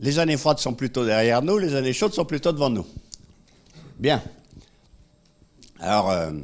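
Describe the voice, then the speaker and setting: A man at a moderate pace with vocal fry, very wide pitch swings and long, frequent pauses. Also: medium pitch for a man. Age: 70s. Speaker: economist and public speaker. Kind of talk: conference talk. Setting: room with live audience. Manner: animated.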